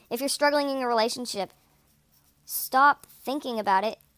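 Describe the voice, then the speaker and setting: Pitched high, a woman talks at a moderate pace. The sound is dry and close with no echo. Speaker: vlogger. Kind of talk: casual chat. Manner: monotone.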